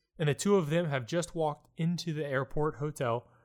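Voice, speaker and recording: The clip is a very clean recording with a silent background, carrying a plain, everyday voice. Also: man. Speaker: audiobook narrator. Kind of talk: audiobook narration, literary reading aloud of a story. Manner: measured, steady storyteller pacing.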